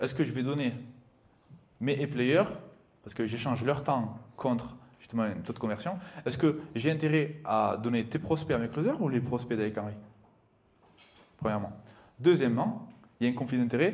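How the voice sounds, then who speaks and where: In a room with audible echo, a man with a medium-pitched, somewhat breathy voice and an animated tone talks with ordinary pitch variation, big swings in loudness, and long, frequent pauses. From southern France. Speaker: sales entrepreneur and speaker. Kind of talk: live conference talk. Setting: stage with audience. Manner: fast.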